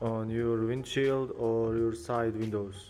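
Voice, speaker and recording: Amid noticeable background noise, a man with a non-native accent speaks slowly, fairly so, at a medium pitch in a monotone, flat delivery. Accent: non-native English, moderate. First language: not English. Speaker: car detailing youtuber. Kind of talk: tutorial. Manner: halting.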